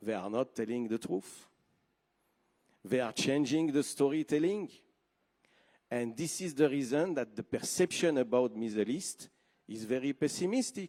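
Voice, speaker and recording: With a dark, mellow tone and lively intonation, a man talks at a medium pitch and moderate pace, leaving long, frequent pauses. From Switzerland. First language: French. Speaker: TV network executive. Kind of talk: conference speech. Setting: stage with audience.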